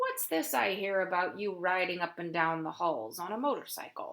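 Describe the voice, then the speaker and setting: Putting on a character voice, a woman speaks in a raspy tone at medium pitch. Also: moderate pace. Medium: read story. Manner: hearty, blunt.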